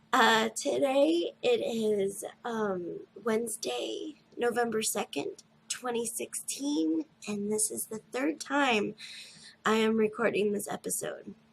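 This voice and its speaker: Very slow in pace, a woman speaks at a fairly high pitch with lively intonation. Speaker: knitting podcast host. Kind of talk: casual podcast talk.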